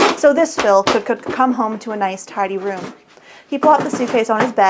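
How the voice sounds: A natural reading voice carries the text.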